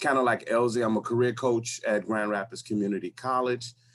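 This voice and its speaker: In an American accent, a man speaks with an ordinary speaking voice at a moderate pace. His intonation stays fairly even. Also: very clean recording, silent background. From Chicago. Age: 50s. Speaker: career coach. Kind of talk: group discussion.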